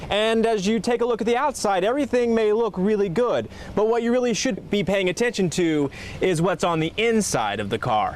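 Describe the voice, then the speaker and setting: Over noticeable background noise, a man talks at a fairly quick pace in a high pitch, his loudness very even and his pitch varying in an ordinary way. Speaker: TV news anchor and reporter. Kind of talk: TV news field report.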